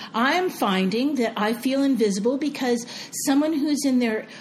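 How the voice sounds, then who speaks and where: With noticeable background noise, a woman speaks at a high pitch with lively intonation. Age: 60s. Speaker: podcast co-host. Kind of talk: casual chat.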